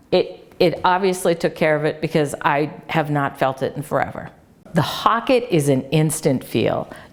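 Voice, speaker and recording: Noticeable background noise sits behind a woman speaking in an animated tone at a moderate pace. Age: 60s. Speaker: clinic patient giving testimonial. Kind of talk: testimony.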